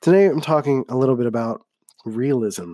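A man with an American accent speaks at a medium pitch in a dark, mellow tone, recorded very cleanly against a silent background with a dry, close sound and no echo. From US, Philadelphia. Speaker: podcast host. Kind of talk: solo podcast monologue. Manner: slurs words together; casual, conversational.

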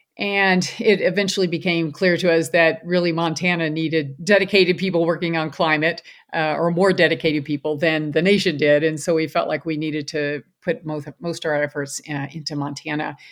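A woman with an American accent talks in an unremarkable speaking voice at a fairly low pitch. Her pace is fairly quick, her intonation fairly even, with hardly any pauses. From Louisville, Kentucky, US. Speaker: physician. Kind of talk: interview.

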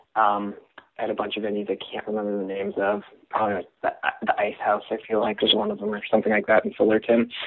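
The speaker is a man with a Californian accent. He talks at a very fast pace. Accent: Californian American. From California, Simi Valley. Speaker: former music journalist and author. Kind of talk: casual chat.

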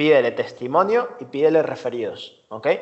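The speaker has a plain, everyday voice and keeps a moderate pace. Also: man. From Venezuela. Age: 20s. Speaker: designer and entrepreneur. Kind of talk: interview. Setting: remote call.

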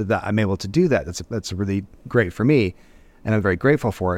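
A man speaks at a very fast pace. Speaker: comedy content creator. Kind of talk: casual chat. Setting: video call. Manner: animated.

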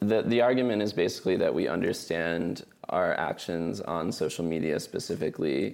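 Speaking at a moderate pace, a man uses lively intonation with a very deep, low pitch and vocal fry. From New Mexico, Albuquerque. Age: 20s. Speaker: writer and linguist. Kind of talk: casual interview. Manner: hesitant, frequent um and uh.

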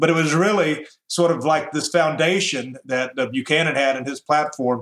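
This man speaks with a Southern US accent. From US South, Tennessee. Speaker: radio host. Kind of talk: interview.

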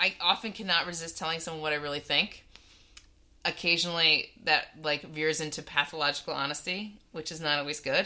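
A woman with a Californian accent talks at a fairly quick pace, her fairly low pitch held to fairly even intonation. Her tone is bright and sharp, on a very clean recording with a silent background. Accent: Californian American. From US West Coast, Bay Area. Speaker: podcast co-host. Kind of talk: casual chat.

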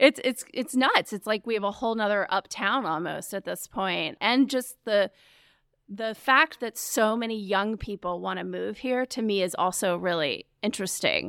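In an American accent, a woman talks at a moderate pace with vocal fry. The recording is very clean, with a silent background and a dry, close sound with no echo. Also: medium pitch for a woman, ordinary pitch variation. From Charlotte, North Carolina (US South). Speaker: nonprofit executive director. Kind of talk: interview.

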